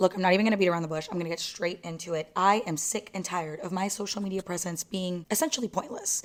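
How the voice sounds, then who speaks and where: Amid noticeable background noise, a woman talks at a very fast pace in an animated tone at a medium pitch. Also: hardly any pauses. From Mexico. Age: 20s. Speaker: lifestyle vlogger. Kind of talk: casual chat. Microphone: new mic, audio issues.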